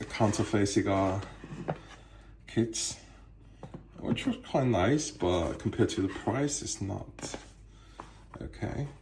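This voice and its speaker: A man with a non-native accent talks at a very slow pace, with medium pitch and ordinary pitch variation. He pauses often and at length. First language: not English. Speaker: cigar collector. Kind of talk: casual show-and-tell tour. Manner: halting, many fillers.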